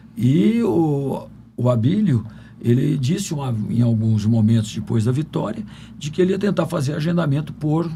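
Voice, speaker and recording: Audible room echo surrounds a man whose fairly high voice makes very wide pitch swings at a moderate pace. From Brazil, São Paulo and Minas Gerais. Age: 70s. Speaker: physician. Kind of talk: podcast interview.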